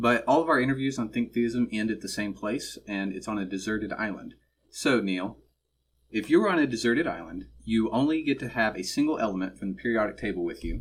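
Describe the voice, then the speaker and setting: A man with an American accent speaks at a fairly quick pace. His pitch is medium, with ordinary variation, in an unremarkable speaking voice. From suburban Texas. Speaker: student podcast host. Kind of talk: interview.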